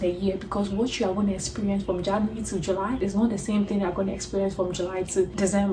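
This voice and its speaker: Here a woman speaks at a medium pitch. Noticeable background noise is present. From Ghana. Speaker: international student and nurse. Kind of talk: casual talk to camera.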